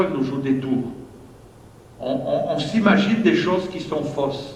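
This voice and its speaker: A man with a Marseille accent speaks with lively intonation at a moderate pace. Audible room echo and noticeable background noise are present. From southern France, Marseille. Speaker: pastor. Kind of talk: sermon. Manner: hesitant, frequent fillers and repetitions.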